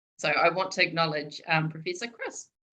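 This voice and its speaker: A woman's bright, sharp tone carries a Southland New Zealand accent. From New Zealand, Southland. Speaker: public servant and sociologist. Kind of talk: seminar talk. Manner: informal, hesitant with fillers.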